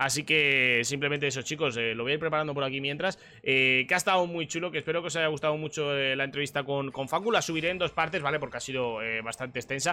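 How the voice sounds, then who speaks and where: A man with a Spanish accent and a fairly high, bright, sharp voice races along at a very fast pace with hardly any pauses and ordinary pitch variation, recorded very cleanly over a silent background. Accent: Peninsular Spanish. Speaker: streamer and sim racing commentator. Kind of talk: casual chat.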